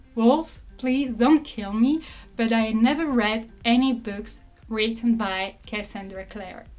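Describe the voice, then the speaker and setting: With a non-native accent, a woman speaks at a fairly slow pace and high pitch while music plays in the background. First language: not English. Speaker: booktuber. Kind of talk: casual talk to camera.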